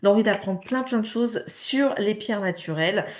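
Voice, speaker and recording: A woman is talking here. The rise and fall of her pitch is ordinary. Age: 30s. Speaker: direct sales distributor. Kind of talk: sales pitch. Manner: hesitant, many fillers.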